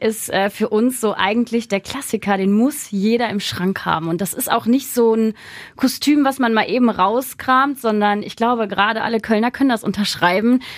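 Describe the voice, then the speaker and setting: Using a normal speaking voice, a woman talks at a moderate pace and fairly high pitch, with ordinary pitch variation and hardly any pauses. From Rhineland, Germany (Hersel, near Bonn). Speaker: Instagram costume creator. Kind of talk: casual interview.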